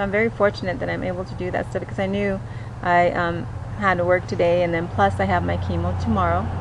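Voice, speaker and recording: Audible room echo colors this woman's voice. Noticeable background noise accompanies her too. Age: 50s. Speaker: cancer patient vlogger. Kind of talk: personal video diary. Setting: outdoors in backyard. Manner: halting, many fillers.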